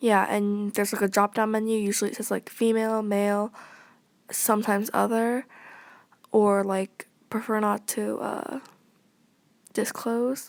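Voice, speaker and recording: A woman's fairly high voice in a monotone, flat intonation at a moderate pace, with long, frequent pauses. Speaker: vlogger. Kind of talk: casual vlog monologue. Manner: halting, many fillers.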